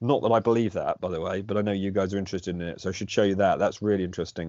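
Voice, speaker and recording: At a very fast pace, a man with a British accent speaks in a fairly low pitch. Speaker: alternative history debater, channel host. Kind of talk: casual chat. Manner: loud; animated.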